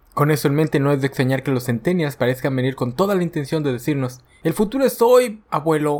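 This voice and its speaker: A man's fairly high-pitched voice at a very fast pace with lively intonation. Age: 30s. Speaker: podcast host. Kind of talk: scripted narration.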